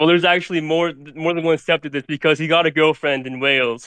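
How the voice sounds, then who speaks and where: A man's unremarkable speaking voice, fairly high in pitch, fairly quick, with fairly even intonation. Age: 20s. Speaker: caller. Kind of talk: casual chat.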